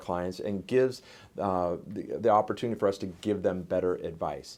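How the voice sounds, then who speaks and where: The man's tone is dark and mellow, with ordinary pitch variation. The background is quiet. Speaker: real estate agent. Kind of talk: market report monologue. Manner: fast.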